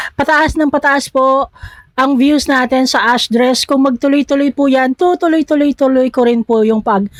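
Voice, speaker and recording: Her high-pitched voice stays fairly even in intonation and very even in loudness at a moderate pace. The woman is heard in a dry, close sound with no echo. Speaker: reaction video creator. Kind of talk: reaction video commentary. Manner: stumbling over words.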